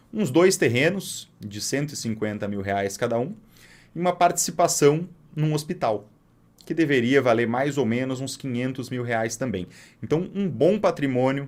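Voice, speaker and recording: A man with an unremarkable speaking voice talks at a moderate pace and medium pitch. His intonation is lively, and the recording is very clean with a silent background. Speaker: financial advisor. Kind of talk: storytelling monologue. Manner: casual.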